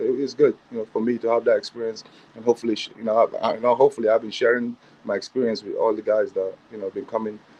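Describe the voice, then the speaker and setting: A man talks with a strong African accent. His pace is very fast. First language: not English (African language). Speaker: assistant basketball coach. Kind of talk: interview. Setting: livestream.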